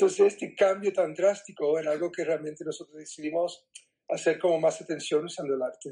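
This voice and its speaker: The tone is dark and mellow, with fairly even intonation. The pace is fairly quick. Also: man, high pitch for a man. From US Northeast (New Jersey, New York), born in Cuba. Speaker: artist. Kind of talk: interview.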